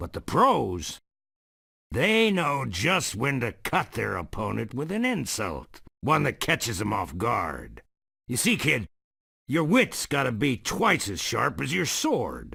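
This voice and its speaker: A man's gruff, put-on character voice at medium pitch and a fairly slow pace, in a very clean recording with a silent background. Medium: video game. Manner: gruff, insulting, blustery.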